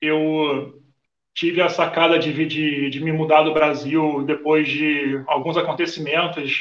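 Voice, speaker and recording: Very slowly, a man in a Rio de Janeiro accent speaks with monotone, flat intonation. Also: fairly high pitch for a man. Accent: Carioca Brazilian Portuguese. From Rio de Janeiro, Brazil. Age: 30s. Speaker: Brazilian immigrant in Portugal. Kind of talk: casual chat.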